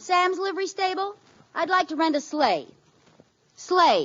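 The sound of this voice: With faint music in the background, a woman puts on a character voice, extremely high in pitch with big pitch swings, a fairly bright tone and a fairly slow pace.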